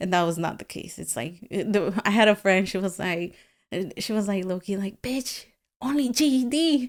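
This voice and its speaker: In a Spanish accent, a woman speaks at medium pitch with lively intonation. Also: moderate pace. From Guatemala. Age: 30s. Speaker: painter. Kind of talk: casual interview.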